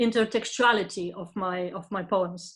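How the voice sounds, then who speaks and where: Here a woman is speaking. She has a Lithuanian accent. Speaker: poet. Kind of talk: panel discussion. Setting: pre-recorded online event. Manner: halting, many fillers.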